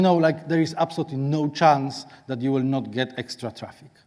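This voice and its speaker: A man with a Polish accent and fairly even intonation, in a very clean recording with a silent background. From Poland. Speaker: SEO consultant, conference speaker. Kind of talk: conference talk. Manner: halting.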